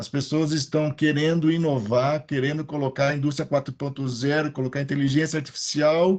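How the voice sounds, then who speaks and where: A man with a fairly high pitch talks in a monotone, flat intonation. He barely pauses. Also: moderate pace. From Piracicaba, interior of São Paulo state, Brazil. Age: 50s. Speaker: maintenance engineering consultant. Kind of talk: panel discussion in a live stream.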